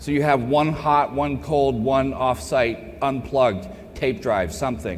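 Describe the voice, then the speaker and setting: Over noticeable background noise and audible room echo, a man talks at a medium pitch with an American accent. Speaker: cybersecurity keynote speaker. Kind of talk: conference Q&A. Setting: stage with audience. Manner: loud; animated.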